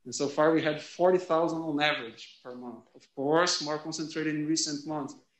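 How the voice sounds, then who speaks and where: With a Brazilian accent, a man speaks at a moderate pace and a fairly high pitch, with audible room echo. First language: Portuguese. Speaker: sociology professor. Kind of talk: lecture. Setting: classroom, also streamed online. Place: classroom.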